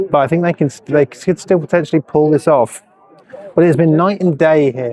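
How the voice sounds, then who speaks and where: Despite noticeable background noise, the dry, close sound has no echo as a man speaks at a moderate pace and a fairly high pitch with ordinary pitch variation. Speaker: sports commentator. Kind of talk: live commentary. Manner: casual, chatty.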